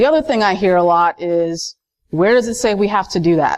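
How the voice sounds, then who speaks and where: Recorded dry and close with no echo in a quiet setting, a woman speaks with a Boston accent in a fairly low pitch. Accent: Boston accent, dropped R's. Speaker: information security analyst, conference speaker. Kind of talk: conference talk. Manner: conversational, many fillers.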